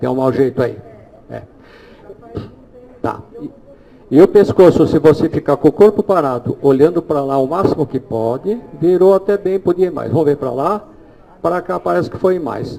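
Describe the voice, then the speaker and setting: A man's fairly high voice at a moderate pace, with long, frequent pauses, big swings in loudness and noticeable background noise. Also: ordinary pitch variation. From Brazil. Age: 60s. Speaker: holistic therapist giving a talk. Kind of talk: live demonstration lecture.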